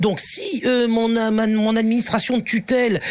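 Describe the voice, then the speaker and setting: A woman at a fairly slow pace. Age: 60s. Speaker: teacher and activist. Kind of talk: radio interview. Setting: radio studio. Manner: halting, many hesitations; forceful.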